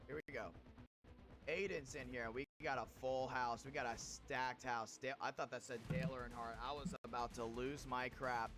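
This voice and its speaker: Music plays in the background. A man speaks in an energetic tone at a moderate pace. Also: medium pitch for a man, ordinary pitch variation. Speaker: sim racing league streamer and commentator. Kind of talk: live race commentary on a stream. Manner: energetic, hype.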